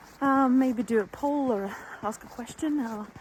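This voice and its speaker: A woman's pitch shifts in an ordinary way while noticeable background noise runs beneath her speech. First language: not English. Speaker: sewing vlogger. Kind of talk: casual chat. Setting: outdoors. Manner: hesitant, with fillers.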